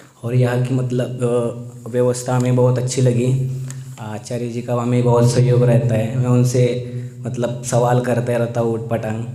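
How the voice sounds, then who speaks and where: A man's monotone, flat delivery at a medium pitch, with audible room echo and noticeable background noise. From Satara district, Maharashtra, India. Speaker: meditation retreat participant. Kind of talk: testimony, partly read from notes. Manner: halting, with fillers.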